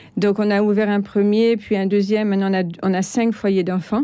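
A woman talks at a moderate pace in a medium pitch, her tone dark and mellow. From France. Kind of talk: interview. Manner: halting.

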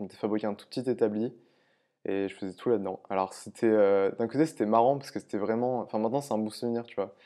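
Over a quiet background, a man speaks at medium pitch with a dark, mellow tone. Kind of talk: interview. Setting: workshop.

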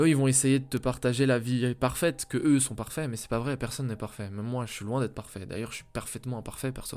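A man's medium-pitched voice at a very fast pace, energetic in tone. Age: 20s. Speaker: entrepreneur podcast host. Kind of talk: solo motivational monologue. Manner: casual, energetic.

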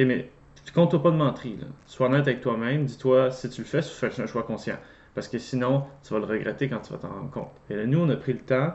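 This man's pitch is medium with ordinary variation. He talks at a fairly quick pace. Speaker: host's husband, works with children. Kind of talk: casual conversation. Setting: seated next to host.

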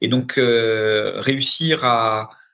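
A man's voice with a bright, sharp tone. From Paris, France. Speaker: director of a public development agency. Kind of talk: interview. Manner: halting, many repetitions and hesitations.

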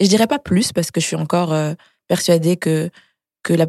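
Speaking at a fairly quick pace, a woman has a fairly low pitch and a dark, mellow tone with ordinary pitch variation. The sound is dry and close, without echo. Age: young. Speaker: makeup artist and entrepreneur. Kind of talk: casual chat.

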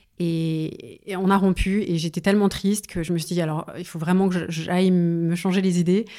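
On a very clean recording with a silent background, a woman speaks at a fairly low pitch in a dark, mellow tone. Her intonation is monotone and flat, and her pace moderate. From Paris suburbs, France. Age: 40s. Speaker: singer. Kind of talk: interview. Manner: halting, with many repetitions.

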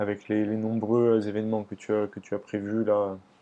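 Fairly low in pitch, a man with a dark, mellow tone speaks at a moderate pace. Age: 20s. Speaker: podcast host, sports enthusiast. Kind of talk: interview. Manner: hesitant, many fillers.

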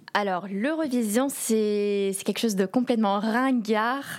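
The speaker is a woman with a medium-pitched voice. Her pitch moves in an ordinary way. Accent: English. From London, England. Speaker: Eurovision fan guest. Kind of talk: casual chat.

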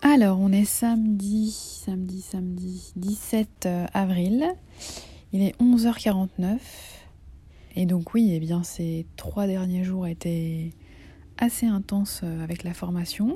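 With long, frequent pauses, a woman speaks at a very slow pace and medium pitch, her somewhat breathy voice dark and mellow in tone and her intonation fairly even. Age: 30s. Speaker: video diarist with breast cancer. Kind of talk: personal video diary.

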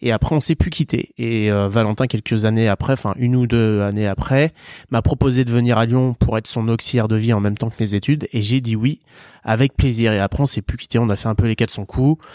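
His voice sits at a medium pitch, with a dark, mellow tone. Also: dry, close sound with no echo, very clean recording, silent background. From Vendée, western France. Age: 30s. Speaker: startup co-founder. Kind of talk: interview.

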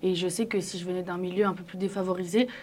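A woman with a medium pitch speaks at a very fast pace. Her intonation is monotone and flat. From Paris, 8th arrondissement. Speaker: journalist. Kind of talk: casual debate.

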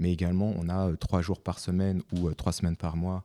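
A man with a very deep, low pitch talks at a moderate pace in a dark, mellow tone. The recording is very clean and dry, with a silent background and a close sound with no echo. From France. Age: 40s. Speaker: chartered accountant. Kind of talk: casual interview. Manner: halting, repeats words.

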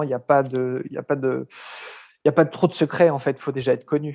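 A man's fairly high voice proceeds at a moderate pace. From France, Lyon. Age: 30s. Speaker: book publisher. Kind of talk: interview. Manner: halting, many repeated words.

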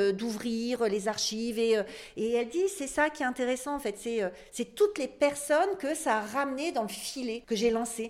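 On a very clean recording with a silent background, a woman with a high pitch talks at a moderate pace with lively intonation. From northern France. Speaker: podcast guest discussing books. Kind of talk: casual interview conversation. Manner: halting, many hesitations and repetitions.

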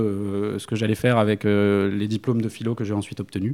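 A man's dark, mellow tone at a fairly quick pace, on a very clean recording with a silent background. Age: 30s. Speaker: dog trainer. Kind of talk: interview. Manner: halting.

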